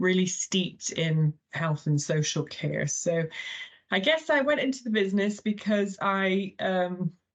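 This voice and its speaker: Lively intonation marks this woman's American accent as she speaks at a fairly slow pace with very even loudness. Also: medium pitch for a woman. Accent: funny accent from an American boarding school. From Thailand. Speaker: healthcare chief executive, former nurse. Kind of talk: podcast interview.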